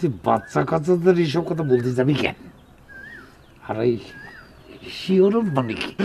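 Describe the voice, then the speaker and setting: Putting on a gruff character voice, a man speaks at a moderate pace with a fairly high pitch and lively intonation. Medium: short film. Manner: gruff, scolding.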